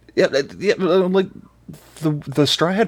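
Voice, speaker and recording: A man's voice with vocal fry at a moderate pace. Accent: American. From Texas. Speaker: podcast guest, anime fan. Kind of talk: casual chat.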